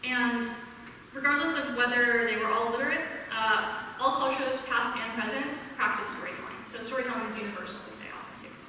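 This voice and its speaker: Amid noticeable background noise and audible room echo, a woman speaks at a high pitch and fairly quick pace, her intonation fairly even but her loudness swinging widely. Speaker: speaker at secular congregation, librarian. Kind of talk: talk to a live audience. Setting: hall with audience and microphone.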